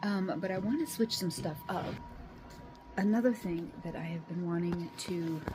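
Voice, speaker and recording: A woman's very wide pitch swings at a fairly slow pace, over noticeable background noise. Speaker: homesteading vlogger. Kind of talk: casual vlog. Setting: at home. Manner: halting; soft-spoken.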